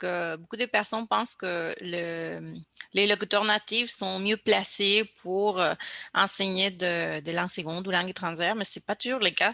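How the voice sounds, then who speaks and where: At a fairly slow pace, a woman with a Spanish accent and vocal fry speaks in fairly even intonation, the sound dry and close with no echo on a very clean recording with a silent background. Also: medium pitch for a woman. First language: Spanish (speaking French). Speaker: podcast host. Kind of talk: casual chat. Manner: hesitant, repetitive.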